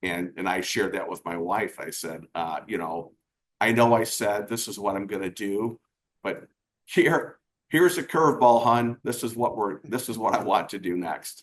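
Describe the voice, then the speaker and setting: This is an ordinary speaking voice with lively intonation. It moves at a moderate pace. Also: man, fairly low pitch for a man. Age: 60s. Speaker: business coach. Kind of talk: casual chat.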